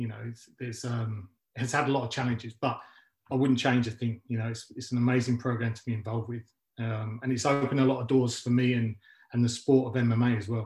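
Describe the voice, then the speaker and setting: Someone speaks in a London accent at a fairly quick pace. The voice is somewhat breathy, with monotone, flat intonation. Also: man, medium pitch for a man. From West London, England. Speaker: MMA coach and gym founder. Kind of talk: interview. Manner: halting, many fillers.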